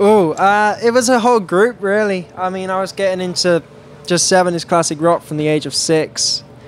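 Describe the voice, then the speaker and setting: A man with an American accent and a high pitch, ordinary pitch variation, moderate pace, and noticeable background noise. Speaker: blues rock guitarist. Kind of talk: casual interview. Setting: music festival. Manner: hesitant, many fillers.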